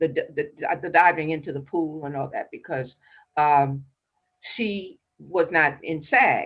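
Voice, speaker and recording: A woman's very deep, low voice with an American accent, very slow and with ordinary pitch variation. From New York (Brooklyn, Harlem). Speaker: actress and dancer. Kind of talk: interview. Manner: halting.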